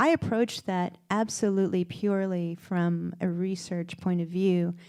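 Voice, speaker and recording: A dark, mellow tone comes at a moderate pace in monotone, flat intonation on a very clean recording with a silent background. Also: woman, medium pitch for a woman. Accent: American. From US South, Kentucky. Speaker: costume designer. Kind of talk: onstage interview. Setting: stage with audience.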